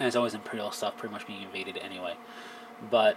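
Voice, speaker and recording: Noticeable background noise behind a man's voice of medium pitch. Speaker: tabletop wargaming youtuber. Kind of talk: casual video review. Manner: loud; rambling, filler-heavy.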